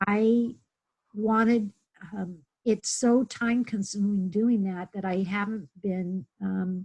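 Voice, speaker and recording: Very slowly and somewhat breathily, a woman speaks at medium pitch with a dark, mellow tone in a dry, close sound with no echo. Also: fairly even intonation. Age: 60s. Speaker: webinar participant. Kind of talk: personal sharing in online workshop. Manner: halting.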